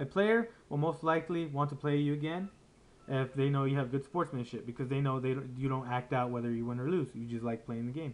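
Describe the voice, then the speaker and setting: At a very fast pace, a man speaks at medium pitch with ordinary variation. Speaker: YouTuber, card game player. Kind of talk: vlog commentary. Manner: casual, halting.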